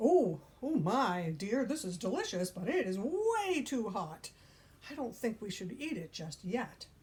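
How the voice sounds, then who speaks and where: Using a put-on character voice, a woman speaks at a fairly slow pace and fairly high pitch with very wide pitch swings. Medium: read story.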